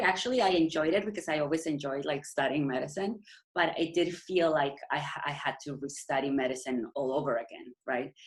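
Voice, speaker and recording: A woman's very deep, low voice with a Mexican accent, at a moderate pace. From Mexico. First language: Spanish. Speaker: endocrinologist. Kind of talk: interview. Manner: halting.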